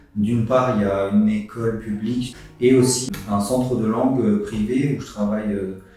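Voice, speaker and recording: Monotone and flat, a man speaks at a moderate pace with fairly low pitch. Audible room echo and noticeable background noise fill the recording. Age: 20s. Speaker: English teaching intern. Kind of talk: interview testimony. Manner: halting, repeats words.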